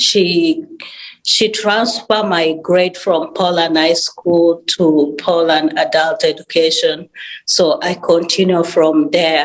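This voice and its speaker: With very even loudness, a woman talks at a very slow pace. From South Sudan and Uganda. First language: not English. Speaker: adult education graduate. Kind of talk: testimony. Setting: webinar. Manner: halting.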